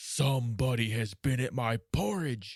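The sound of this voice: A gruff, raspy put-on character voice from a man, medium in pitch, at a moderate pace.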